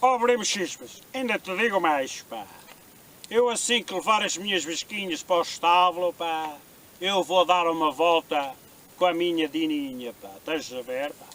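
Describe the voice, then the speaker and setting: Putting on a character voice, a man drawls at a moderate pace in a high pitch, with lively intonation and big swings in loudness. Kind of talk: comic overacting. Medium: comedy sketch. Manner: drawling, ends nearly every phrase with "pá".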